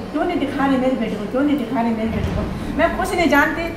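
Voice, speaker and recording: A woman speaks in a high pitch. Noticeable background noise sits behind her voice. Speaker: victim's mother. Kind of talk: emotional confrontation with officials.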